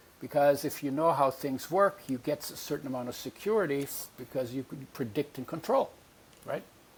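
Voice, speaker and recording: A man speaks at a fairly quick pace in a fairly high pitch, somewhat breathy. His pitch varies in an ordinary way. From Europe (Latvian family, born in Poland). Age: 80s+. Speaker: nutrition expert. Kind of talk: interview.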